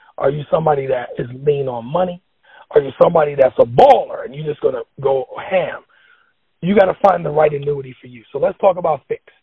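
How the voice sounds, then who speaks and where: A man at a very fast pace with big swings in loudness, music playing in the background. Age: 40s. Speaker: financial educator. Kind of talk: financial tutorial in casual chat. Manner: instructive.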